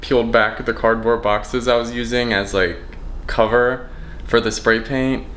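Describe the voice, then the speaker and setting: A man talks at a medium pitch amid audible room echo and noticeable background noise. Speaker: vlogger. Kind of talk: casual vlog. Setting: in his apartment. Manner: loud.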